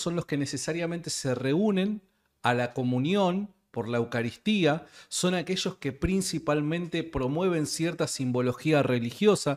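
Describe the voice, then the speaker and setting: Over a quiet background, a man speaks at a fairly slow pace with a fairly high pitch and ordinary pitch variation. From Argentina. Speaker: podcast host. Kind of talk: casual interview conversation. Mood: laughs while joking. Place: studio. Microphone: studio mic.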